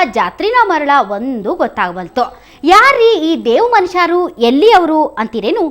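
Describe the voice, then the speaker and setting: A woman speaks in a North Karnataka accent. Her pitch is extremely high and swings very widely. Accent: North Karnataka Kannada dialect. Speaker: news anchor. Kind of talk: news narration in regional dialect.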